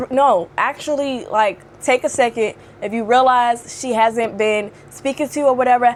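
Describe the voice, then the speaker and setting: An animated tone with ordinary pitch variation moves at a moderate pace. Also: woman. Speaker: video blogger. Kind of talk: casual chat. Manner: loud.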